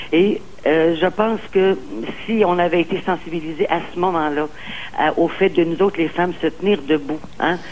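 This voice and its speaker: Fairly low-pitched, a woman talks at a moderate pace with fairly even intonation and very even loudness. Noticeable background noise sits behind her. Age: 60s. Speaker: caller. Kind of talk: call-in talk show.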